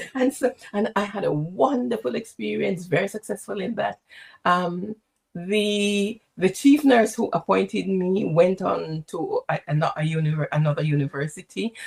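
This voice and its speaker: Her voice is somewhat breathy, at a medium pitch for a woman. She speaks at a moderate pace with lively intonation. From Jamaica, St. James. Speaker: executive coach and former nurse leader. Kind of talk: interview.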